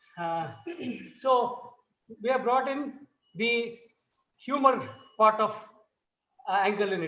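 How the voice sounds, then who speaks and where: In a room with audible echo, a man talks at a moderate pace in a high pitch with ordinary pitch variation. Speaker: dance guru. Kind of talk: lecture demonstration.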